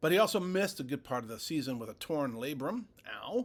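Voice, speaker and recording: With very wide pitch swings, a man talks in a high voice at a moderate pace. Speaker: sports news podcaster. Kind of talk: sports news commentary. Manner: casual, slightly halting.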